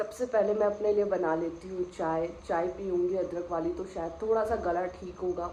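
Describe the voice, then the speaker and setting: A woman at medium pitch speaks at a fairly slow pace with fairly even intonation and hardly any pauses. There is noticeable background noise and audible room echo. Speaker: pet vlogger. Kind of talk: casual vlog. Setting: at home, then outdoors. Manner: speaking loudly to be heard.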